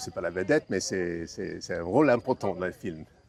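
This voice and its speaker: A man talks at a moderate pace. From United States. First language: English (speaking French). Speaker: classic car owner. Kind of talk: interview. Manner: halting, many hesitations and repetitions.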